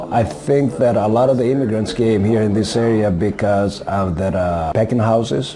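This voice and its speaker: A man with a fairly low pitch talks with hardly any pauses and very even loudness. Noticeable background noise and audible room echo are present. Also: ordinary pitch variation, moderate pace. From Greece. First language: Greek. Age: 60s. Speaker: auto body worker. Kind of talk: interview. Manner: hesitant, with frequent fillers.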